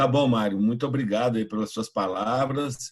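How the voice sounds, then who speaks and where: At a moderate pace, a man speaks at medium pitch with ordinary pitch variation in an unremarkable speaking voice. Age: 60s. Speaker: pastor and youth evangelist. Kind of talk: online mentoring talk.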